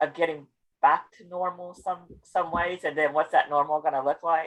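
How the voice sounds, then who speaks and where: Speaking at a moderate pace, a woman with a West Virginia accent has a fairly low pitch. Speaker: conference session moderator. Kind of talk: casual chat. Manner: halting.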